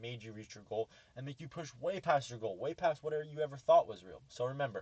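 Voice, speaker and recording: A man at a medium pitch with ordinary pitch variation, somewhat breathy, talking at a very fast pace. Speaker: trading educator, YouTuber. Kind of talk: lecture. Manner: halting, self-correcting.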